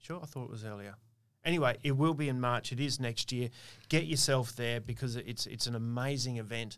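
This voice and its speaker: In a very clean recording with a silent background, a man with an Australian accent speaks at a fairly quick pace, medium pitch and ordinary pitch variation. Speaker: pharmacy owner and podcast host. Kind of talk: casual chat. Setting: studio. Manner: loud.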